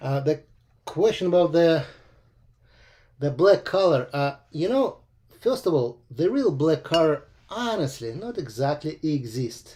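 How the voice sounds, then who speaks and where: On a very clean recording with a silent background, a man with a Russian accent speaks at a fairly slow pace and fairly high pitch, with lively intonation, a dark, mellow tone, and long, frequent pauses. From Russia (Moscow). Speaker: watercolor painting teacher. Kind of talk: live painting demo tutorial. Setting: livestream. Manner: hesitant, frequent uh fillers.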